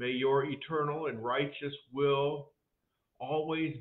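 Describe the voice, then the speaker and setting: A man speaks at a very slow pace with fairly even intonation. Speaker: pastor or minister. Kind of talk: devotion, spoken prayer. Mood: calm, solemn. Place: office.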